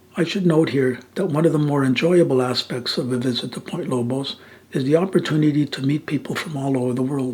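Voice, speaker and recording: A man with a fairly high pitch and ordinary pitch variation talks at a fairly quick pace while noticeable background noise plays. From German-speaking Switzerland, Basel. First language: Swiss German. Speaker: nature photographer giving a library talk. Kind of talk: presentation with narration.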